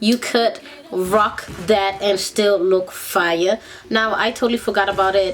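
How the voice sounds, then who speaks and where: Music in the background behind a woman of medium pitch, with a fairly slow pace, fairly even intonation and very even loudness. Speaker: beauty vlogger. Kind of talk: makeup tutorial. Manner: casual.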